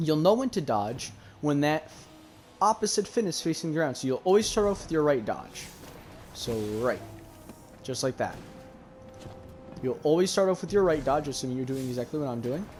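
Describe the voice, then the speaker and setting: A man's fairly high, fairly quick voice with lively intonation and long, frequent pauses, with music in the background. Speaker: gaming tutorial creator. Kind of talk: gameplay tutorial. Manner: casual.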